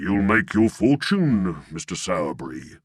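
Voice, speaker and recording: Putting on a growling character voice, a man speaks at a fairly low pitch and a moderate pace with very wide pitch swings. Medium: read story. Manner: pompous.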